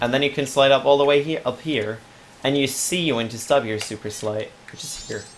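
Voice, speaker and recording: With noticeable background noise behind him, a fairly high-pitched man talks at a fairly quick pace, his loudness swinging widely. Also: ordinary pitch variation. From Germany. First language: German. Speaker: video game speedrunner. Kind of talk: gameplay tutorial. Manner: casual, chatty.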